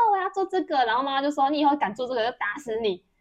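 A woman speaks at a high pitch with a Taiwanese accent. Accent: Taiwanese Mandarin. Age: 40s. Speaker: podcast co-host, telecom store worker. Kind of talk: casual chat.

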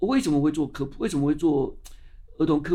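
A man talks with lively intonation. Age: 60s. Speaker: science magazine publisher. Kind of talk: interview. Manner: animated.

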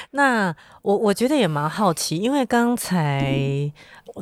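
On a very clean recording with a silent background and a dry, close sound with no echo, a woman speaks at a fairly slow pace. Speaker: podcast host. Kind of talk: interview.

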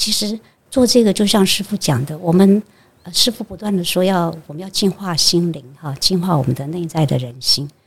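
A woman speaks in a fairly low, somewhat breathy voice. Her intonation is lively, with big swings in loudness. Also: moderate pace. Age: 60s. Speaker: Buddhist monastic. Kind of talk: interview conversation.

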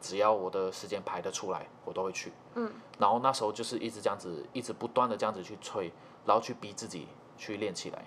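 A man with a fairly low pitch at a very fast pace and with fairly even intonation. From Malaysia. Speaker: trumpet player and music teacher. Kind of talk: casual interview chat.

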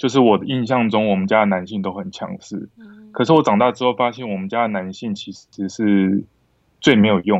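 This is an unremarkable speaking voice, a man's at fairly low pitch, moving at a fairly quick pace with ordinary pitch variation and big swings in loudness. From Taiwan, born Kinmen, raised Longtan and north. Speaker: film director. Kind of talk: casual chat.

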